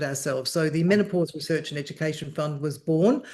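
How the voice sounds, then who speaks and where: Her pitch very deep and low, a woman speaks with an Australian accent. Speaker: journalist and menopause charity founder. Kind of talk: interview conversation.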